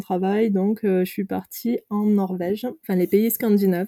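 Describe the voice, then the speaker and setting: The sound is dry and close with no echo as a woman speaks at a moderate pace in a medium pitch. Her tone is dark and mellow, her intonation monotone and flat. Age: 30s. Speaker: nurse turned van-life traveller. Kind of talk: interview. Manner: hesitant, many fillers.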